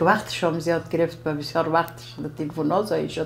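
A woman's fairly low voice at a fairly quick pace, faint music in the background. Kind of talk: interview answer. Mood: grateful, warm. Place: home room.

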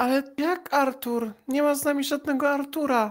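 A female-sounding, put-on character voice is pitched high for a woman. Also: moderate pace. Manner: cheerful, innocent, playful.

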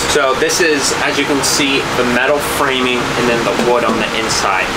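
A man talks over loud background noise. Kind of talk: casual vlog chat. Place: street. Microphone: phone near.

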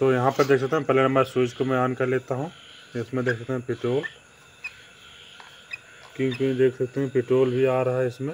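Long, frequent pauses break up a man's speech. Between them he moves at a fairly quick pace with monotone, flat intonation. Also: medium pitch for a man.

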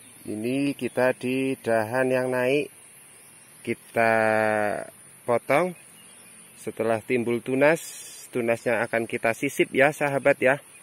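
With long, frequent pauses, a man speaks at a very slow pace and fairly even intonation, the sound dry with no echo. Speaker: farmer demonstrating grafting. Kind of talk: tutorial. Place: open country. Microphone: phone near.

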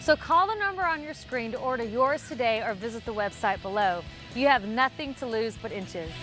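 Over clear background music, a woman talks at a fairly quick pace in a fairly high pitch with lively intonation, the sound dry with no echo. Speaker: fitness trainer. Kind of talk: TV commercial read. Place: garden. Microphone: lapel.

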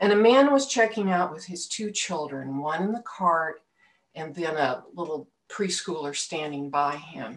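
Her pace is fairly slow. The woman's intonation stays lively. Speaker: speaker. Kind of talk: sermon-style personal story. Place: home room. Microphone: webcam.

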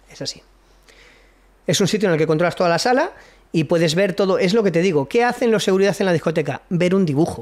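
Talking at a very fast pace broken by long, frequent pauses, a man with a high pitch uses an animated tone and ordinary pitch variation against a quiet background. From Spain. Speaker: military veteran and preparedness instructor; podcast guest. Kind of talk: casual chat. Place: studio. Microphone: studio mic.

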